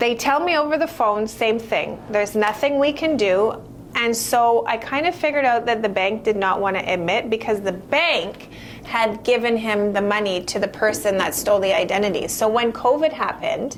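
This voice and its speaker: A woman's fairly high, animated voice with lively intonation and very even loudness, at a moderate pace over noticeable background noise. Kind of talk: casual chat.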